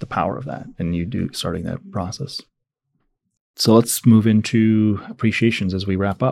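A man with a plain, everyday voice and fairly low pitch speaks at a moderate pace, with ordinary pitch variation and big swings in loudness, on a very clean recording with a silent background. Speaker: podcast host and leadership institute founder. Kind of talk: interview.

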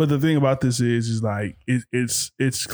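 This is a very clean recording of a man with a silent background. He has a normal speaking voice at medium pitch, and the sound is dry and close with no echo. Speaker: podcast host, father of co-hosts. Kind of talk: casual chat.

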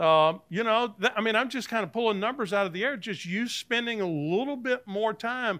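A high-pitched man's voice with a Southern US accent, bright and sharp in tone, ordinary pitch variation, a moderate pace, and a very clean recording with a silent background. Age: 60s. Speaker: Bible teacher, former pastor. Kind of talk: Bible class lecture. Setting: church classroom with live audience. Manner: conversational, with frequent fillers and restarts.

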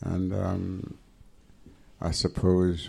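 With a Jamaican accent, a man speaks. His pitch is very deep and low. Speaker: engineer and pioneer. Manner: formal.

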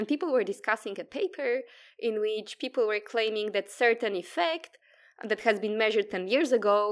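In a Polish accent, a woman speaks at a fairly high pitch with ordinary pitch variation and a moderate pace. The recording is very clean, with a silent background. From Poland. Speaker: quantum physicist. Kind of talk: interview.

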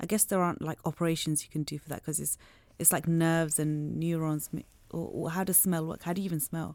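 Delivered in a monotone, flat intonation at a very fast pace, the speech comes through in a very clean recording with a silent background. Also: woman, fairly low pitch for a woman. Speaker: podcast host. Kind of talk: casual interview. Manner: chatty, laughs often.

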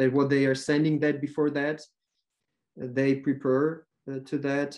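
A man speaks with a Ukrainian accent at a fairly high pitch. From western Ukraine. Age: 20s. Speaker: language tutor. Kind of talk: interview. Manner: halting.

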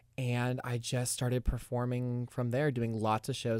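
A man is talking. His accent is American. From Florida, Tallahassee. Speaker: musical theater student. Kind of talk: casual chat.

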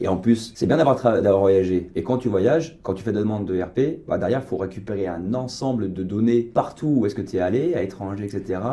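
Dark, mellow male tone with ordinary pitch variation. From western France, near La Rochelle. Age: 30s. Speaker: director of a business club. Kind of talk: radio interview. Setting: radio studio.

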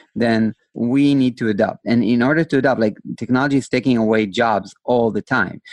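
Recorded with a dry, close sound and no echo, a man speaks at a moderate pace. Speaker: podcast host. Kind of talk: casual interview. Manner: animated.

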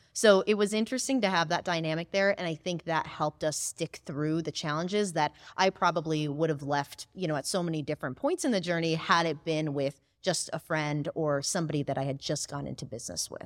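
A woman with a fairly low pitch and ordinary pitch variation speaks with hardly any pauses in a plain, everyday voice. The recording is very clean with a silent background and a dry, close sound with no echo. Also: fairly quick pace. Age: 20s. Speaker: chatbot marketing agency co-founder. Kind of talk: interview.

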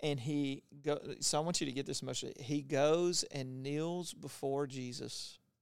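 A man's ordinary speaking voice with an American accent, fairly high in pitch, at a fairly slow pace with hardly any pauses and fairly even intonation. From Louisiana, US South. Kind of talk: casual faith conversation with Bible teaching.

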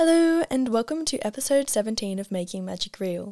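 A woman with an Australian accent, dry, close sound with no echo, very clean recording with a silent background. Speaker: podcast host. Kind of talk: scripted intro narration. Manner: fast-talking; enthusiastic, bubbly.

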